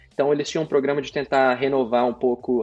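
A man speaks at a very fast pace with a medium-pitched voice. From Brazil, interior of Paraná (near Londrina). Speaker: cloud specialist. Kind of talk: casual interview.

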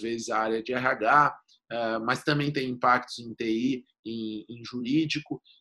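This speaker takes a fairly slow pace. The tone comes out bright and sharp. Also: man. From Rio Grande do Sul, Brazil. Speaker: lawyer. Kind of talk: interview about data protection law. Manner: halting, repeats words.

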